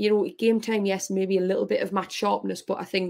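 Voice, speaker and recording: With a Geordie accent, a woman talks at a fairly quick pace in a medium pitch. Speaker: professional footballer. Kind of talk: interview.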